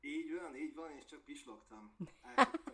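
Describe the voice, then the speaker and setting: A man speaks at a very fast pace. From Hungary. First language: Hungarian. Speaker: hypnotherapist. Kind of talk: interview. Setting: video call.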